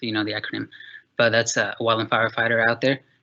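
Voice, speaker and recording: In a Spanish accent, a man with a bright, sharp tone speaks with monotone, flat intonation against a quiet background. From Mexico, then Texas. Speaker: park naturalist. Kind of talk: panel talk about career journey. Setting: video call. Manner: halting, many fillers.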